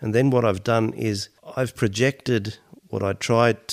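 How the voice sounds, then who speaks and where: A man with an Australian accent, fairly low in pitch with vocal fry and fairly even intonation, at a moderate pace, in a dry, close sound with no echo and a very clean recording with a silent background. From Australia, Mediterranean family. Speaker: podcast co-host. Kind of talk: casual chat.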